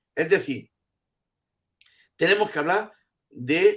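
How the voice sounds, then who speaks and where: The recording is very clean, with a silent background. A man talks fairly slowly, and his pitch varies in an ordinary way. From Andalusia, Spain. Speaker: professor emeritus of education. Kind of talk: interview answer.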